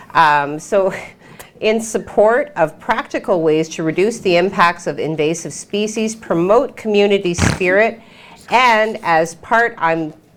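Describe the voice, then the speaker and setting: Against noticeable background noise, a woman talks at a fairly slow pace with lively intonation. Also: medium pitch for a woman. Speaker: local TV news host. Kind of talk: casual news chat.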